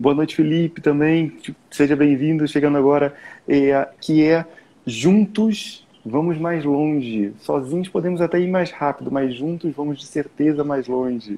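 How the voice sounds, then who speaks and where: A man's voice sits at a fairly high pitch and varies in an ordinary way. He takes a fairly slow pace. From Brazil. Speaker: time management mentor. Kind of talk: live stream conversation. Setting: live stream.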